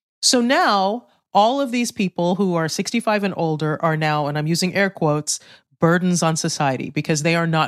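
A woman with an unremarkable speaking voice, fairly low in pitch, fairly quick, with lively intonation, on a very clean recording with a silent background. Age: 50s. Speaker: author. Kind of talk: interview.

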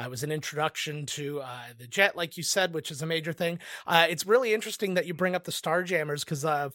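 With a Canadian accent, a man speaks at a fairly quick pace and a fairly high pitch, his tone bright and sharp with ordinary pitch variation. The recording is very clean, with a silent background. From Canada. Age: 30s. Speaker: game show judge. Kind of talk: casual chat.

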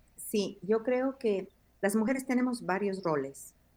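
A woman talks at a fairly slow pace in a normal speaking voice. Her pitch varies in an ordinary way. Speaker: pastor. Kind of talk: interview.

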